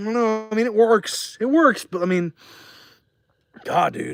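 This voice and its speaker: A man with a high pitch and an American accent. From New Jersey. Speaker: streamer. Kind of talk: casual live stream Q&A. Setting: outdoors by a fire. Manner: loose, rambling delivery.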